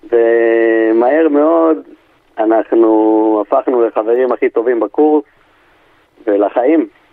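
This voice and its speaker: The speech moves at a very slow pace with long, frequent pauses. Its pitch varies in an ordinary way. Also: man, medium pitch for a man. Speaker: army friend of the guest. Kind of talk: interview.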